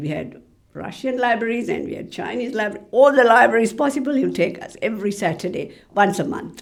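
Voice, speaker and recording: A woman with a Tamil accent, medium in pitch, with lively intonation, big swings in loudness and a very fast pace, against noticeable background noise. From Sri Lanka. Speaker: library officer. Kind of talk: interview.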